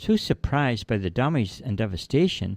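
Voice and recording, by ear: Natural-voiced reading aloud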